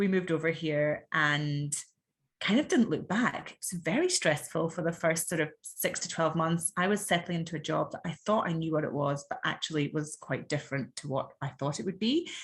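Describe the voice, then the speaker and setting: The speaker has an Edinburgh accent and talks at a fairly quick pace. The voice is somewhat breathy. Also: woman, fairly low pitch for a woman, ordinary pitch variation. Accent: Scottish (Edinburgh). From Scotland, Edinburgh. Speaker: podcast guest, mother. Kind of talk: casual interview chat.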